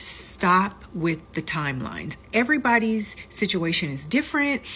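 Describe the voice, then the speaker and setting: Bright and sharp with vocal fry, this voice moves at a moderate pace through very wide pitch swings. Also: woman, medium pitch for a woman. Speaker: lifestyle vlogger. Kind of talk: casual advice talk.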